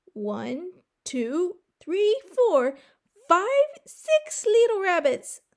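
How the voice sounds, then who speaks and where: In a put-on character voice, a woman speaks very slowly with a squeaky, extremely high pitch, very wide pitch swings and a raised, projected delivery. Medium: read story.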